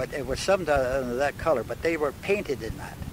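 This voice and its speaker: A man with a Canadian accent talks at a moderate pace in a fairly high pitch with ordinary pitch variation. The sound is dry with no echo, though noticeable background noise is present. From Manitoba, Canada. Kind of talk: oral history interview answer. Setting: in a car. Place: car.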